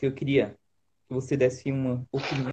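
Here a man is speaking. His voice is somewhat breathy. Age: 30s. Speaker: youth leader. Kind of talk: casual chat.

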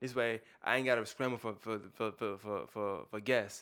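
This man with a New York accent talks at a medium pitch with fairly even intonation, on a very clean recording with a silent background. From Brooklyn, New York. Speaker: podcaster. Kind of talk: casual chat.

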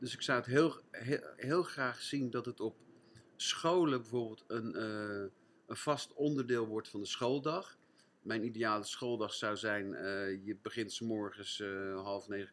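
At a fairly slow pace, a man speaks in a plain, everyday voice with ordinary pitch variation. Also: medium pitch for a man. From Netherlands, Gouda. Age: 60s. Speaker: French teacher and mindfulness trainer. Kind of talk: casual interview.

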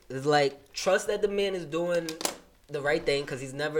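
Noticeable background noise sits under a man's voice. He talks at a fairly quick pace with ordinary pitch variation. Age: young. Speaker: executive producer. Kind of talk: casual chat.

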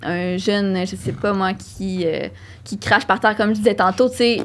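A woman's medium-pitched voice with vocal fry, ordinary pitch variation, and a fairly slow pace. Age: 20s. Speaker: psychology doctoral student. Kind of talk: casual interview.

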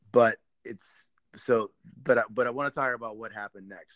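An ordinary speaking voice from a man, at a moderate pace with fairly even intonation and a dry, close sound with no echo. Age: 40s. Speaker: podcast host, construction company CEO. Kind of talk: conversational podcast interview. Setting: remote recording, co-host in another city.

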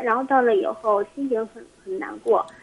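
The talking runs at a fairly quick pace, with noticeable background noise behind it. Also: woman. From Heilongjiang. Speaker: caller. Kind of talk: phone call-in. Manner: halting.

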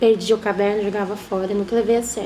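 A woman with a fairly high voice is heard amid noticeable background noise and audible room echo. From Brazil, São Paulo state (Osasco). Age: 30s. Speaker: writer, writing club founder. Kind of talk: interview.

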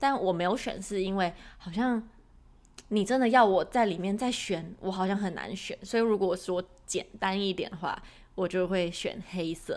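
A woman with a normal speaking voice, medium pitch, moderate pace and ordinary pitch variation. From Taiwan. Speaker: podcast co-host. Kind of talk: casual chat.

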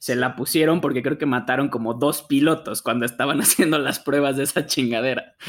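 A man with an unremarkable speaking voice talks at a fairly quick pace with hardly any pauses. His pitch is fairly high and his intonation fairly even. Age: 30. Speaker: car podcast co-host. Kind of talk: casual chat.

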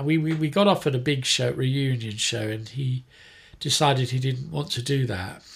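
With a southern English accent, a man talks at a moderate pace in a fairly high voice. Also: very clean recording, silent background. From England, Surrey. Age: 60s. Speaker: punk guitarist and songwriter. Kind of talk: casual interview. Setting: home studio room.

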